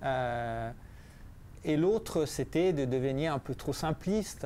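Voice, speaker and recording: At a very slow pace, a man with an Italian accent talks in a medium pitch with a dark, mellow tone. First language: Italian (speaking French). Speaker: physicist and author. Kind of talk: book presentation talk. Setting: library café talk with audience. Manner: halting, many repetitions and hesitations.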